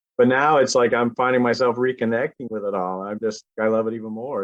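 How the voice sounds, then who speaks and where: A man in a Cape Breton accent, fairly quick, with fairly even intonation. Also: hardly any pauses, big swings in loudness. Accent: Cape Breton Canadian. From Cape Breton, Nova Scotia. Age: 40s. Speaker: musician. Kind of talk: casual interview chat.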